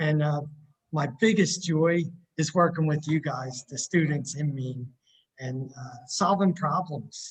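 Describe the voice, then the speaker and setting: A man with a fairly high, somewhat breathy voice talks at a fairly slow pace with ordinary pitch variation and big swings in loudness. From Philadelphia area / South Jersey, US. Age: 60s. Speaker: university instrumentation technician. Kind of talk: interview. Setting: video call from campus building.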